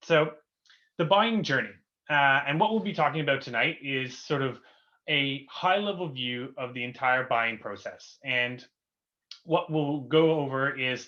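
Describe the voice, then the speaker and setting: A man's fairly high voice with a Canadian accent, fairly slow, with ordinary pitch variation. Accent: Canadian, noticeable to UK audience. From Canada. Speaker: company co-founder, webinar host. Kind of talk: webinar presentation. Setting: online webinar. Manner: many filler words (uh, um).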